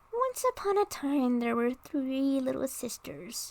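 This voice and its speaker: In a put-on character voice, a female-sounding speaker mumbles at a fairly slow pace, hoarse and high-pitched. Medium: read story. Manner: sleepy, mumbling.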